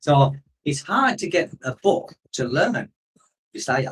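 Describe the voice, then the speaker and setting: With a northeast English accent, a man speaks in a somewhat breathy voice at a fairly high pitch. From northeast England. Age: 50s. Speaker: expat vlogger. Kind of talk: live stream chat. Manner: casual, rambling.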